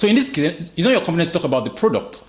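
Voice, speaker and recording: An animated man with a strong Nigerian accent, a high pitch and very wide pitch swings. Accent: thick Nigerian. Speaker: podcast host. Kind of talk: casual podcast chat.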